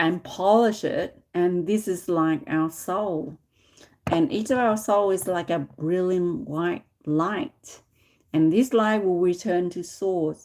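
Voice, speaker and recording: On a very clean recording with a silent background, a woman with a fairly low pitch speaks at a fairly slow pace with lively intonation. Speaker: tarot reader. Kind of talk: live stream tarot reading. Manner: loud.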